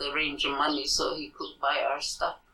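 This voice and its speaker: Noticeable background noise sits behind the voice. A woman talks at a moderate pace. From Santa Clara Pueblo, New Mexico. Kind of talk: interview answer. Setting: at her home.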